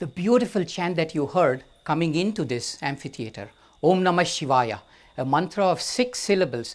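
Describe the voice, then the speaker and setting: On a very clean recording with a silent background, a man with an Indian accent speaks with lively intonation. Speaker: storyteller. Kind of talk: storytelling talk. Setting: outdoor amphitheater with audience.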